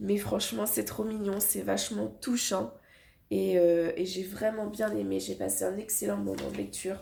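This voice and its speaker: A woman talks at a fairly slow pace. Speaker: book vlogger. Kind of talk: casual vlog. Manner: halting.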